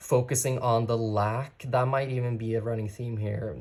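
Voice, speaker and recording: A man speaks at a fairly slow pace in a somewhat breathy, medium-pitched voice with monotone, flat intonation, on a very clean recording with a silent background. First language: not English. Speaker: tarot reader. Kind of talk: tarot reading. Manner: casual, conversational.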